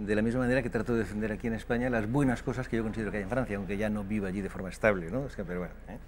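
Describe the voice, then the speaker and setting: A man rattles along at a very fast pace, his medium pitch held in fairly even intonation. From France. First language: French (speaking Spanish). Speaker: political commentator on France. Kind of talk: TV interview.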